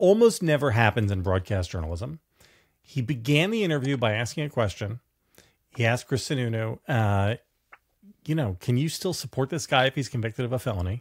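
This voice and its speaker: A man speaks with lively intonation and a somewhat breathy voice. The background is quiet. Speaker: political commentator, show co-host. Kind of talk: commentary. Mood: sardonic, animated. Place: home room.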